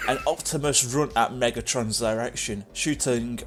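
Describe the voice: This is plain reading aloud. The pitch varies an ordinary amount.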